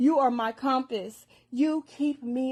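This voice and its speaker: Speaking very slowly, a woman with a high pitch and a dark, mellow tone uses ordinary pitch variation. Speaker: poet. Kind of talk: spoken word poetry.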